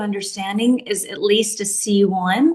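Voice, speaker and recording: Over noticeable background noise, a woman speaks at a moderate pace with an American accent. Her pitch varies in an ordinary way. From US South, Nashville, Tennessee. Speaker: English teacher. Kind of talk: casual chat.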